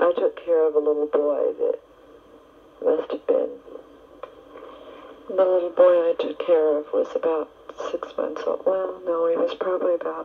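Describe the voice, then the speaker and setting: A woman speaks at a moderate pace with long, frequent pauses. Noticeable background noise is present. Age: 20s. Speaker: Red Cross volunteer. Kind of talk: personal recorded letter to family. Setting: home cassette tape recording. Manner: candid, open.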